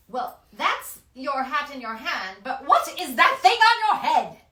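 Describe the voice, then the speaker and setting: An extremely high, put-on character voice from a woman, with very wide pitch swings and a fairly slow pace. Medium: read story. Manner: commanding, imperious.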